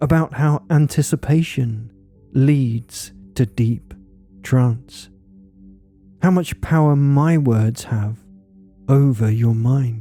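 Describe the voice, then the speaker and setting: With music in the background, a man at medium pitch talks at a very slow pace and very even loudness, leaving long, frequent pauses. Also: ordinary pitch variation. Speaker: hypnotist. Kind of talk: hypnosis induction. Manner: slow, soft-spoken.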